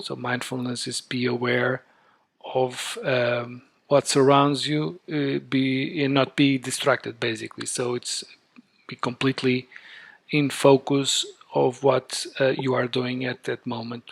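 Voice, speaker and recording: This man's voice sits at a medium pitch, his intonation monotone and flat. He speaks at a fairly slow pace. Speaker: day trader. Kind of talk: casual talk to camera. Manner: hesitant, natural.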